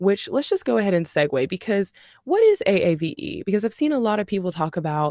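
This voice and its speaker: Against a quiet background, a woman with a dark, mellow tone speaks at medium pitch with very wide pitch swings, the sound dry and close with no echo. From US South, Shreveport, Louisiana. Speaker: podcast host and massage therapist. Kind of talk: casual monologue. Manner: animated.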